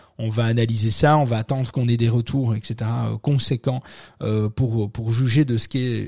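A man speaks at a moderate pace in a medium pitch, with a dark, mellow, somewhat breathy tone. The recording is very clean, with a silent background and a dry, close sound with no echo. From French-speaking country other than France. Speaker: podcast host on SEO. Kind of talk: casual talk show. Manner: hesitant, many fillers.

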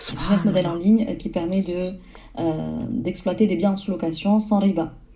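Her voice is fairly low, with ordinary pitch variation at a moderate pace. The woman is heard with noticeable background noise and audible room echo. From southern France. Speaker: entrepreneur and business coach. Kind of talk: interview.

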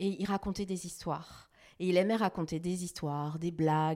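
Here is a woman with a plain, everyday voice at medium pitch, speaking at a moderate pace. The recording is very clean, with a silent background. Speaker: TV journalist and news editor. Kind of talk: interview conversation.

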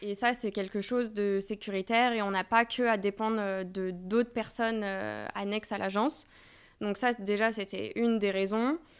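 In a normal speaking voice, a woman talks at a fairly slow pace with medium pitch and fairly even intonation. The recording is very clean, with a silent background. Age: 30s. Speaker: agency co-founder and talent manager. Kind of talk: casual interview.

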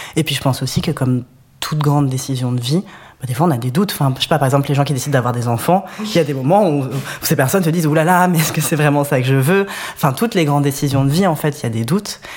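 Very fast speech against noticeable background noise. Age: 30s. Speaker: web developer, DJ. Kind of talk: testimony.

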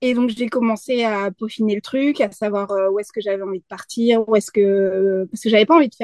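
The sound is dry and close with no echo as a woman with an ordinary speaking voice talks at a moderate pace, her intonation fairly even. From France. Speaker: freelance graphic designer and community manager. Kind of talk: casual interview.

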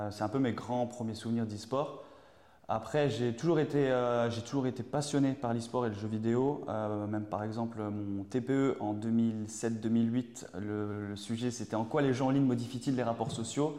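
Speaking at a fairly slow pace, a man with a medium pitch and a dark, mellow tone keeps his intonation fairly even. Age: 30s. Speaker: civil servant working on esports projects. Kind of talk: interview. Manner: halting.

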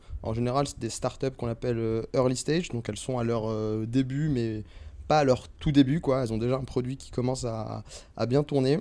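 A man with a medium pitch speaks in a dark, mellow tone with fairly even intonation. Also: moderate pace. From Paris region, France (teen years in Algiers). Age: 20s. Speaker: startup investment manager. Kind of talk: casual interview. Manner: hesitant, many repetitions and fillers.

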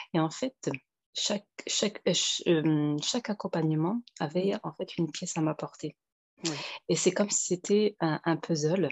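This woman's voice sits fairly low in pitch, moving with ordinary variation as she talks at a fairly slow pace. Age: 30s. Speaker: single mother giving coaching testimony. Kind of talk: interview testimony. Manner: halting.

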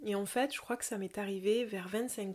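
A medium-pitched woman with a slight southern French accent. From southern France, near Toulouse. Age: 30s. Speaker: yoga teacher. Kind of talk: casual podcast monologue.

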